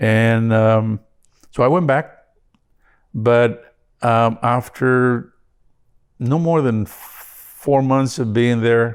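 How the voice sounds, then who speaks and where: Speaking with a Spanish accent, a man has a medium pitch and fairly even intonation. His pace is very slow, with long, frequent pauses. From northern Mexico, Parral, Chihuahua. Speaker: immigrant interviewee. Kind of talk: interview. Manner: halting, many fillers.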